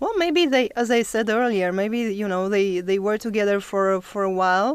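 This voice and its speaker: In a non-native accent, a woman speaks at a moderate pace, her medium pitch showing ordinary variation. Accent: foreign, non-native English. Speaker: author. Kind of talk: interview answer.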